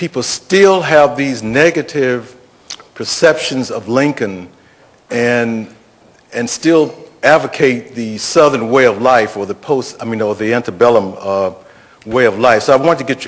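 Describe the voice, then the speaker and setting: A man talks with big swings in loudness. There is noticeable background noise behind him. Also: medium pitch for a man, ordinary pitch variation, fairly slow pace. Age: 60s. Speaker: audience member asking questions. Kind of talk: audience question at panel. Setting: public panel event, audience microphone. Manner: halting, many fillers.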